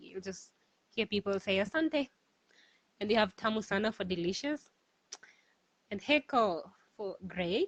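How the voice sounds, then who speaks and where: Fairly high-pitched woman's voice in a Kenyan accent, fairly slow, with a dry, close sound and no echo. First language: Swahili. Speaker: cultural guide. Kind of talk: online Q&A. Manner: hesitant.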